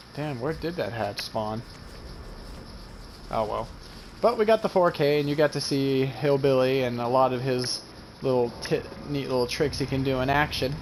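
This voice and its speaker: A man at a medium pitch and moderate pace, ordinary pitch variation, long and frequent pauses. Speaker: gaming YouTuber. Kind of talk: gameplay commentary. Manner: halting.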